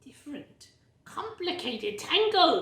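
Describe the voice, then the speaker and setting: Putting on a character voice, a woman speaks extremely high and fairly slowly, with a slight echo. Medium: read story. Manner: broken clipped speech, grumbling.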